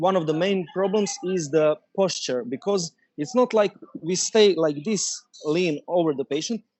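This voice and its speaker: This man speaks with a Croatian accent and a high pitch. His pace is moderate and his pitch variation ordinary. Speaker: dentist and startup founder. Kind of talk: interview. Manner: halting, many fillers.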